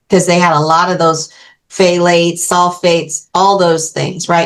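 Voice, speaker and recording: Her pitch sits fairly low for a woman. She speaks at a fairly slow pace. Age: 60s. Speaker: beauty brand co-founder, former makeup artist. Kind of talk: casual interview chat. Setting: podcast interview.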